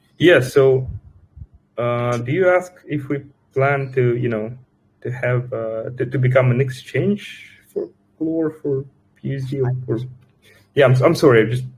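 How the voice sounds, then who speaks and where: At a fairly slow pace, a man talks in a medium pitch with a somewhat breathy voice, leaving long, frequent pauses. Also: fairly even intonation. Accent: Russian. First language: Russian. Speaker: crypto project team member. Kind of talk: live Q&A session. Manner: halting, many fillers and repetitions.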